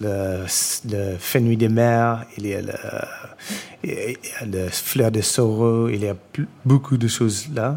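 Over noticeable background noise, a man with an English accent speaks at a medium pitch with fairly even intonation. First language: English (speaking French). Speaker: chef and restaurant owner. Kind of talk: panel discussion before a live audience. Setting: stage with audience in a restaurant. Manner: halting, many repetitions.

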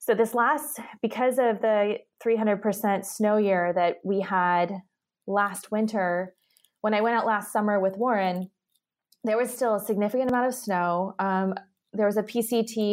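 A woman at medium pitch with an unremarkable speaking voice, a moderate pace and fairly even intonation. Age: 30s. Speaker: entrepreneur and company founder. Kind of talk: casual chat.

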